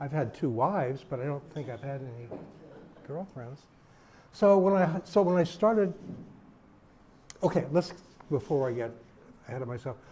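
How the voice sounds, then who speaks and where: A man with an American accent talks at a moderate pace with a fairly high pitch and a dark, mellow, somewhat breathy tone. His intonation is lively, with big swings in loudness and long, frequent pauses. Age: 80s+. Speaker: podcast co-host and activist. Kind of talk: personal talk, life stories. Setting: retirement community talk.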